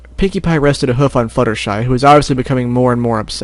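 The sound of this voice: In an unforced reading voice, the intonation stays fairly even.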